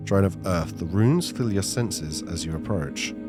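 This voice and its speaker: With music in the background, a man speaks with lively intonation at a moderate pace. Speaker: gaming narrator. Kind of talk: narrated game playthrough. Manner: calm, soft-spoken.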